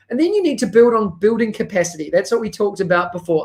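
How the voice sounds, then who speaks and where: Here a man speaks with a New Zealand accent. His pitch is high. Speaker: educational technology consultant. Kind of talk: conference presentation.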